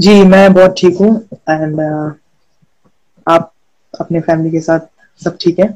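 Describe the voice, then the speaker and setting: Long, frequent pauses break up a man's high-pitched, flat and monotone delivery. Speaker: talk show host. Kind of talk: interview questions.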